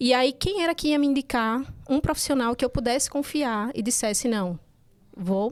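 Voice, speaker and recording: The pitch moves in an ordinary way. A woman delivers it at a moderate speed. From Recife, northeastern Brazil. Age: 40s. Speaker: breastfeeding consultant and nurse. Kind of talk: podcast interview, personal story.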